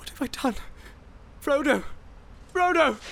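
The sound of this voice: In a put-on character voice, the speaker moves at a fairly slow pace with lively intonation, a fairly bright tone and vocal fry. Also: man, extremely high pitch for a man.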